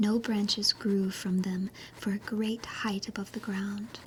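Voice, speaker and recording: Over noticeable background noise, a woman speaks very slowly at a medium pitch, her gentle, soothing tone held in a monotone, flat intonation. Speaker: virtual YouTuber / ASMR streamer. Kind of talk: fantasy story reading. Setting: cozy bedtime, under the covers. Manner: slow, gentle, soothing.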